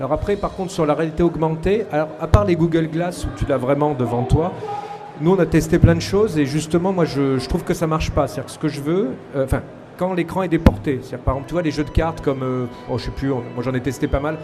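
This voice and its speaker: Amid noticeable background noise and audible room echo, a man talks at a very fast pace in a fairly high pitch with ordinary pitch variation. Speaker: game technology developer. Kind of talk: panel discussion. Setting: stage with audience.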